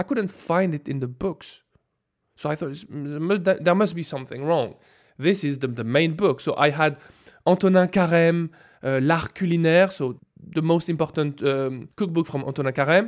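A man with a French accent, fairly high in pitch with ordinary pitch variation, at a moderate pace, in a very clean recording with a silent background. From France. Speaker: food scientist. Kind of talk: interview.

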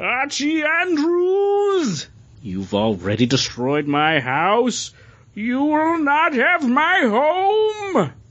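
A put-on character voice, high-pitched, at a very slow pace. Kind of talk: theatrical comic-book reading. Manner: dramatic, angry.

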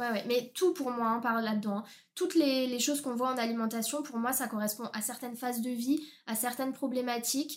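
Speech moves at a fairly quick pace. Its intonation is fairly even. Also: woman, high pitch for a woman. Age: 20s. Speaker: nutrition consultant. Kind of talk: podcast interview.

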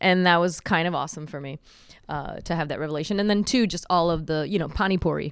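Very fast speech comes from a woman with a fairly low pitch and ordinary pitch variation. The recording is very clean, the background silent. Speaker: chef and restaurant owner. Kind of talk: casual interview.

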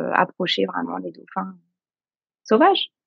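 Her speed is moderate. This woman has an unremarkable speaking voice, pitched in the middle range. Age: 40s. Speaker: novelist and kindergarten teacher. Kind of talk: interview.

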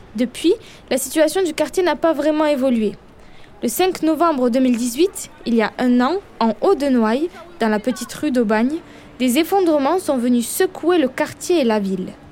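A woman speaks with a southern French accent, a high pitch and lively intonation. Her loudness stays very even over noticeable background noise. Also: fairly slow pace. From Perpignan, southern France. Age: 20s. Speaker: journalist reporter. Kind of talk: scripted narration with street interviews.

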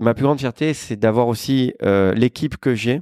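The recording is very clean, with a silent background. A man speaks at a fairly slow pace in a medium pitch. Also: dry, close sound with no echo. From Marseille, southern France. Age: 40s. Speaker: restaurant entrepreneur. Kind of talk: casual interview.

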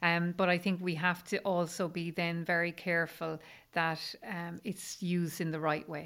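In an Irish accent, a woman talks with monotone, flat intonation at a fairly low pitch, captured on a very clean recording with a silent background. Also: moderate pace. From rural Ireland. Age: 50s. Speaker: menopause coach. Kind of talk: interview conversation.

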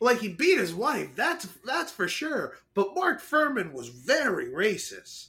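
With an American accent, a man uses a raised, projected voice at an extremely high pitch, bright and sharp in tone, swinging his pitch very widely at a very slow pace with hardly any pauses. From US South. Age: young. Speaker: podcast co-host. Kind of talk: casual chat.

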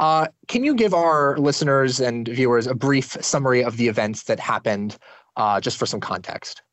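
At a moderate pace, a man speaks at medium pitch with ordinary pitch variation in an unremarkable speaking voice. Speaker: podcast host. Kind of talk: interview.

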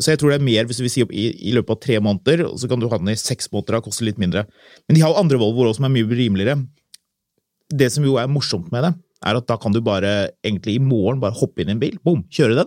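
A man speaks at a very fast pace in a medium pitch, with ordinary pitch variation and a dry, close sound that has no echo. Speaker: car podcast host. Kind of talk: casual chat.

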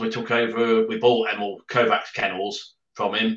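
This man's voice has a bright, sharp tone, medium pitch and monotone, flat intonation. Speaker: greyhound trainer. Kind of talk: interview.

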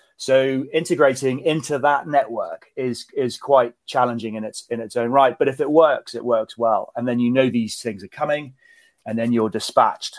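A man with a British accent, fairly even intonation, on a very clean recording with a silent background. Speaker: retired naval officer. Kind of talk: interview.

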